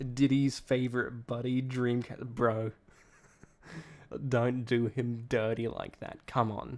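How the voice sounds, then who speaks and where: Monotone, flat intonation in an Australian accent. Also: man. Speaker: streamer co-host. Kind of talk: casual chat. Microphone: possible echo, sitting close to mic.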